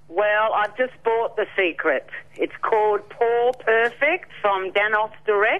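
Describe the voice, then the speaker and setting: In an Australian accent, a woman speaks very slowly with very even loudness. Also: fairly high pitch for a woman, ordinary pitch variation. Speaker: caller. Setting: phone call.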